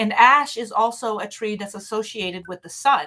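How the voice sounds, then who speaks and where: Her intonation rises and falls in a normal way. She has a non-native accent. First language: not English. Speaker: witchcraft teacher. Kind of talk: live stream talk. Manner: halting, many fillers.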